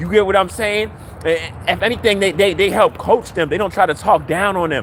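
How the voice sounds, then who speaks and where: An animated, high-pitched man at a fairly quick pace, with ordinary pitch variation over noticeable background noise. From US, Baltimore. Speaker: livestreamer. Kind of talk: livestream rant. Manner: animated, repetitive and stammering.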